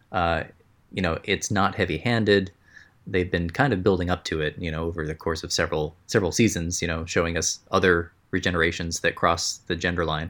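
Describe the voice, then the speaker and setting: Recorded very cleanly against a silent background, a man with an American accent speaks at a very deep, low pitch with fairly even intonation. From partly Egypt and US (Oregon family). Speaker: pixel artist. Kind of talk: casual chat.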